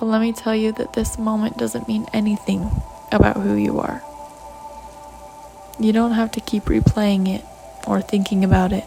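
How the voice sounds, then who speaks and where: Music plays in the background as a woman speaks. She is soft-spoken, with long, frequent pauses. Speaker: self-help audio creator. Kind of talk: reading aloud. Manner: slow.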